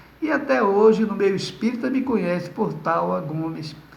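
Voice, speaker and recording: A high-pitched male voice at a moderate pace, with noticeable background noise and audible room echo. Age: 60s. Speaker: spiritist lecturer. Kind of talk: lecture; testimony.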